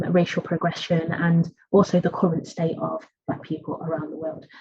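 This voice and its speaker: The voice is somewhat breathy and flat in a monotone, with an East Midlands accent. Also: woman. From England, East Midlands (Nottingham). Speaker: academic researcher. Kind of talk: academic lecture. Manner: halting.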